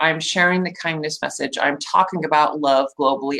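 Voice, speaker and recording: A woman's bright, sharp voice, animated in tone, with lively intonation. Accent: American. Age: 40s. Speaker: show host, spiritual entrepreneur. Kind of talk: live interview.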